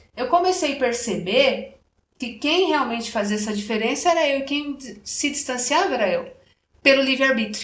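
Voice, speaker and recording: A woman with a rural Brazilian accent speaks at a moderate pace in a high voice with lively intonation. Audible room echo surrounds her. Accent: Brazilian countryside. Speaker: chromotherapy speaker and radio presenter. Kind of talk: interview conversation.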